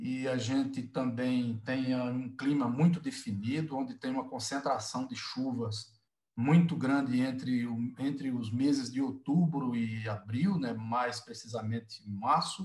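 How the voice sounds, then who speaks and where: Speaking with a northeastern Brazilian accent, a man at medium pitch keeps a fairly slow pace and fairly even intonation. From Northeast Brazil, Alagoas. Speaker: sugarcane industry executive. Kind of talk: webinar panel discussion. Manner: hesitant, with repetitions.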